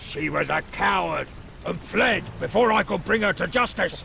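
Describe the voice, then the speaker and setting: A man puts on a gruff character voice at a moderate pace over clear background noise. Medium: video game. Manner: gruff, suspicious.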